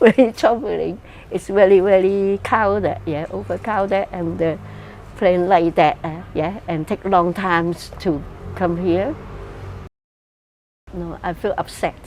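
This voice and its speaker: With a Cantonese accent, a woman speaks at a fairly slow pace and medium pitch, keeping her intonation fairly even and making long, frequent pauses. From Hong Kong. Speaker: migrant interviewee. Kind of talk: interview testimony. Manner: halting.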